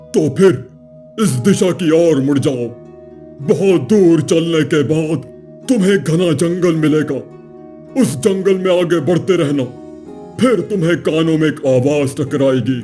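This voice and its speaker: A man uses a cartoonish character voice at a fairly high pitch and a fairly slow pace. Clear music plays in the background. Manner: calm, measured.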